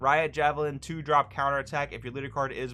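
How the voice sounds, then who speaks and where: A man races along very fast while music sounds in the background. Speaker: card game content creator. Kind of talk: card review commentary. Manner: casual.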